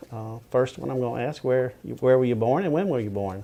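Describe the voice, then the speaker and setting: There is noticeable background noise as a man with a Southern US accent speaks at a medium pitch. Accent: Southern US (Georgia). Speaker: family oral history interviewer. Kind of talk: oral history interview. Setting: at interviewee's home.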